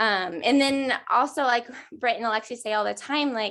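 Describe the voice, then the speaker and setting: Against a quiet background, a woman with an ordinary speaking voice talks at a fairly high pitch with ordinary pitch variation. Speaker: network marketing ambassador. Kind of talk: team call sharing tips.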